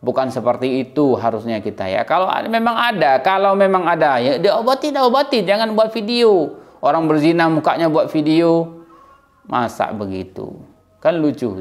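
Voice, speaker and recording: A man with a high pitch talks at a moderate pace, his pitch swinging very widely over noticeable background noise. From Aceh, Indonesia. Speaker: YouTube commentator. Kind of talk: opinion monologue. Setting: indoors in a room. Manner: loud.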